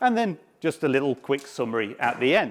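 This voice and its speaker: With a British accent, a man speaks at a moderate pace and ordinary pitch variation in a very clean recording with a silent background. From UK. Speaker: software developer, conference speaker. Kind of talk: conference talk.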